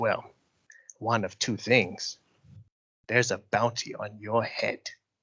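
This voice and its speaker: Putting on a character voice, a man speaks at a fairly slow pace and medium pitch. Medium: actual play. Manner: menacing, slow.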